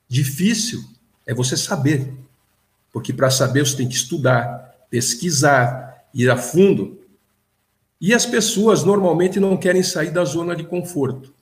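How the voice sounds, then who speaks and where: The voice is somewhat breathy with lively intonation, moving at a fairly slow pace with long, frequent pauses and audible room echo. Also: man, fairly high pitch for a man. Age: 60s. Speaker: businessman and consciousness researcher. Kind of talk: casual interview.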